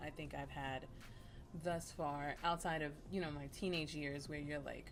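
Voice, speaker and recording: With music in the background and audible room echo, a woman speaks at a very deep, low pitch in monotone, flat intonation. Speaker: beauty vlogger. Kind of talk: casual chat.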